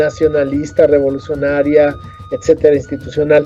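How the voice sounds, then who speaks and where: A man's voice with music in the background. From Mexico City, Coyoacán. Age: 60s. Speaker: teacher of ancestral culture, author. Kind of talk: interview. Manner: halting, with frequent fillers and repetitions.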